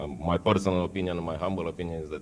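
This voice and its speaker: A man talks with a Romanian accent. His very deep, low voice moves at a fairly quick pace. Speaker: food company executive. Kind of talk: conference panel presentation. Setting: conference hall with audience. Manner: halting.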